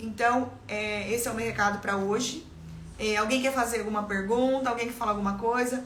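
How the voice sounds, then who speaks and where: A woman talks at a fairly quick pace in a monotone, flat delivery. The room echo is audible. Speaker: life mentor and salon owner. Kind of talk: live stream motivational talk. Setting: live stream. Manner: fast.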